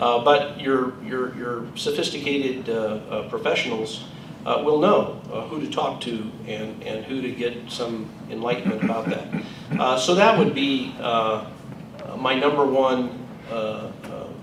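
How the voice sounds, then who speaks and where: Medium-pitched male voice at a fairly slow pace with ordinary pitch variation, audible room echo and noticeable background noise. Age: 60s. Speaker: state attorney general. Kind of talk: Q&A at a public event. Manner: hesitant, many fillers.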